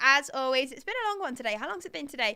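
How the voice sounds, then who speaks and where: High-pitched, raised and projected, a woman's voice with a bright, sharp tone. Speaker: crypto news livestream host. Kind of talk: live stream commentary.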